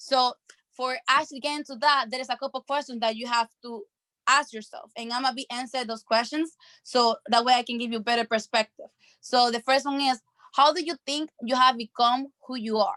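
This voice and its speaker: In a raised, projected voice, a woman talks at a fairly quick pace with a high pitch, a bright, sharp tone, fairly even intonation and big swings in loudness, the sound dry and close with no echo. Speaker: online mentor. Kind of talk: motivational training session. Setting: video call. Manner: fast.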